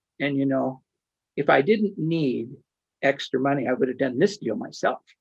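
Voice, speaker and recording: This man has a fairly high pitch and lively intonation. Vocal fry runs through his voice. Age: 70s. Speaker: syndication attorney and interview show host. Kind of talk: interview. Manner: halting.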